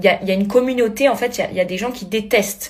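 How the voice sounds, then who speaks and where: Speaking very fast with a Corsican accent, a woman uses an animated tone, medium pitch and ordinary pitch variation. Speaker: reality TV contestant. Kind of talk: video blog rant.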